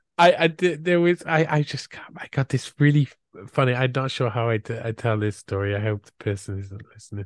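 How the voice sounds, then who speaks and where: A man with a British accent talks at a fairly quick pace and a medium pitch, with hardly any pauses. His intonation is lively, his loudness swings a lot, and the sound is dry and close with no echo. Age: 40s. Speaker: podcast host. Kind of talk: casual interview chat.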